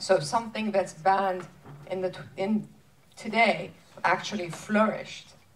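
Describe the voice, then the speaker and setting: The somewhat breathy speech comes at a fairly slow pace with fairly even intonation and long, frequent pauses, against light background noise. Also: woman, medium pitch for a woman. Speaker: interviewer. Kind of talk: panel Q&A. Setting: stage with audience. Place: stage.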